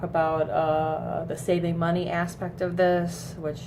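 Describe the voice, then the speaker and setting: A woman's somewhat breathy voice keeps a monotone, flat intonation, with audible room echo. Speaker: vape flavor reviewer. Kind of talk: casual vlog review. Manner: hesitant, many fillers.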